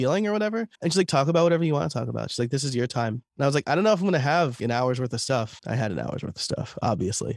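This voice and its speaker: A man's fairly high voice with an American accent, lively intonation, a very fast pace, and hardly any pauses. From New York, US. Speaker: podcaster and content creator. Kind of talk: interview conversation.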